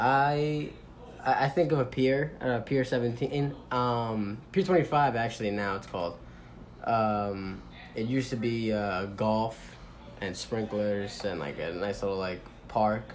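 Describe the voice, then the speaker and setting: Someone with an American accent speaks at a fairly slow pace with ordinary pitch variation, and room echo is audible. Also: man, medium pitch for a man. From New York City (Manhattan). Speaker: interviewee. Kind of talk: interview.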